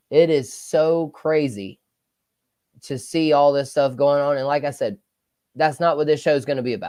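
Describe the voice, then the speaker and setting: Pitched fairly high, a man talks at a moderate pace with a Southern US accent and ordinary pitch variation. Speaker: sports podcast host. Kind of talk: casual livestream talk. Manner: loud.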